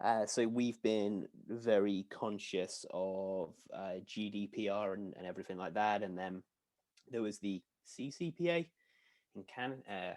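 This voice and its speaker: A man with a slight British accent, fairly low pitch, ordinary pitch variation and a fairly slow pace. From United Kingdom. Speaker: software sales executive. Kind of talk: webinar Q&A. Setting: webinar video call.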